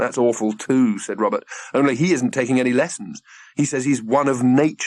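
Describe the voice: Just plain reading aloud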